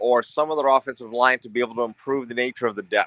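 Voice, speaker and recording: A man at a medium pitch speaks with a bright, sharp tone and fairly even intonation, the sound dry and close with no echo. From western New York. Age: 60s. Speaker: sports podcast caller. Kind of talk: casual sports talk discussion. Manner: halting, repeats words.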